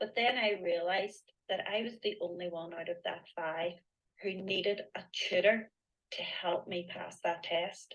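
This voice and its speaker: At a fairly slow pace, a woman talks with a Northern Irish accent. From Northern Ireland. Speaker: mindset coach. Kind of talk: interview on a live online event.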